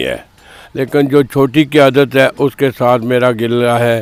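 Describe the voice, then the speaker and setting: A man with a normal speaking voice uses fairly even intonation, recorded with a dry, close sound and no echo. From Pakistan, Islamabad area. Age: 60s. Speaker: local election candidate. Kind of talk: interview.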